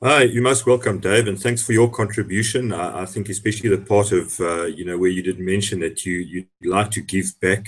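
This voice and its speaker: Somewhat breathy and fairly low in pitch, a man talks at a fairly quick pace with hardly any pauses and fairly even intonation. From South Africa. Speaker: hangout host, salesperson. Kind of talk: casual panel discussion. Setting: video call.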